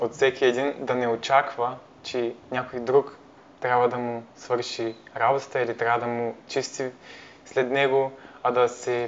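This man's voice sits at a medium pitch and stays monotone and flat. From Bulgaria, Parvomay (Plovdiv region). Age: 20s. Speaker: university student, volunteer. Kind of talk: interview. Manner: halting.

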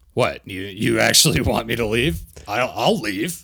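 A man uses a raspy, put-on character voice at a medium pitch and a fairly slow pace. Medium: actual play. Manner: sarcastic, whiny.

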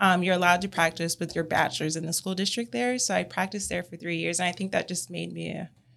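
Very wide pitch swings stand out on a very clean recording with a silent background. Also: woman. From California. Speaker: speech language pathologist and clinic owner. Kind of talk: casual interview.

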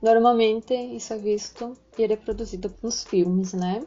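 Fairly high in pitch, a woman talks in an ordinary speaking voice. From southern Brazil, Rio Grande do Sul. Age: 20s. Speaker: psychologist. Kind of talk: informative talk.

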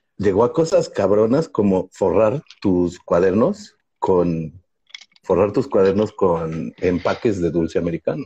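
A man's fairly low, somewhat breathy voice with a dark, mellow tone, lively intonation and very even loudness. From Mexico. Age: 40s. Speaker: comedian podcast co-host. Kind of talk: casual chat. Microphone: bad connection, freezing.

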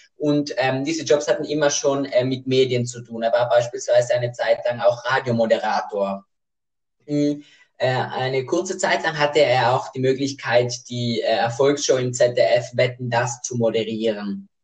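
Somewhat breathy, a man with medium pitch and ordinary pitch variation talks at a moderate pace. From South Tyrol, Italy. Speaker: podcast co-host. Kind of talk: casual chat. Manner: hesitant, many fillers.

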